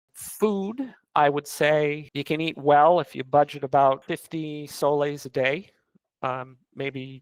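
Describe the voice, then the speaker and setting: The sound is dry and close with no echo as a man with a New England accent speaks at a fairly high pitch with fairly even intonation. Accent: American (New England). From US Northeast, northwest Connecticut. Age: 40s. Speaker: expat interviewee. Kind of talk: interview. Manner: hesitant, many fillers.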